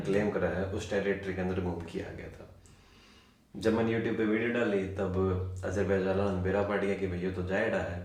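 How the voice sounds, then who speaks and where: A man with a Haryana accent, fairly low in pitch, flat and monotone, at a moderate pace, with noticeable background noise. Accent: Haryanvi. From Haryana, India. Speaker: travel vlogger. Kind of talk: interview answer.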